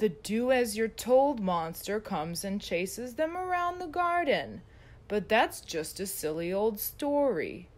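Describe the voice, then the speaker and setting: Very wide pitch swings mark a put-on character voice delivered at a moderate pace. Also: woman, fairly high pitch for a woman. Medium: read story.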